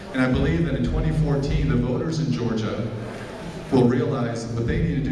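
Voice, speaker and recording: A man at medium pitch and a fairly quick pace, with noticeable background noise and audible room echo. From Belgrade, Serbia, then Chicago suburbs. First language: Serbian. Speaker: psychiatrist and Senate candidate. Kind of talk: campaign speech. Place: hall.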